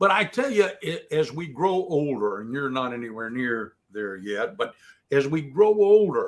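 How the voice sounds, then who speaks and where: A man at a fairly slow pace, with very wide pitch swings and big swings in loudness. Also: fairly high pitch for a man. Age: 70s. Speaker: former FBI agent and defense attorney. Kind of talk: interview. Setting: livestream.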